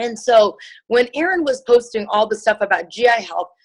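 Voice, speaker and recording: A woman with a Chicago accent speaks at a fairly quick pace and a fairly high pitch, using ordinary pitch variation. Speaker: nurse and network marketer. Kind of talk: testimony. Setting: video call. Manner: casual, many fillers.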